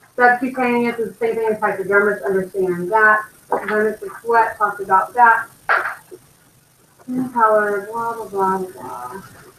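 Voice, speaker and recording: A woman with a normal speaking voice talks at a moderate pace and a fairly high pitch, with ordinary pitch variation. Her loudness swings widely. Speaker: anatomy and physiology teacher. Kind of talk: test review lecture.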